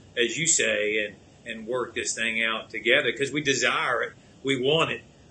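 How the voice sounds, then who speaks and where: Using a normal speaking voice, a man with a medium pitch speaks with fairly even intonation. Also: moderate pace. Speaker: podcast host. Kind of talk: casual show talk.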